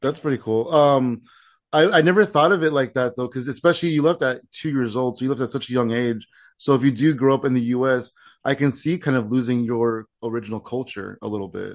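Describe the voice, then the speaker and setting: An ordinary speaking voice, a man's at medium pitch with ordinary variation, moves at a fairly quick pace over a quiet background. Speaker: comedy podcast host and comedian. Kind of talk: casual chat.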